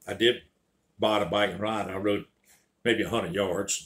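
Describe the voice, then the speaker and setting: With a Southern US accent, a man of fairly low pitch talks in a bright, sharp tone. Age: 70s. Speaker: storyteller. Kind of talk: casual storytelling monologue.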